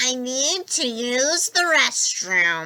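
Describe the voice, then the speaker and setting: A put-on character voice is used here. It moves through very wide pitch swings. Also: woman. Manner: rehearsed, eerie.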